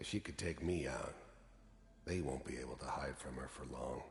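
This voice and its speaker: Over clear background noise, a man growls in a put-on character voice at a very deep, low pitch and a moderate pace. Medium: video game. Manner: gruff, laconic, hard-edged.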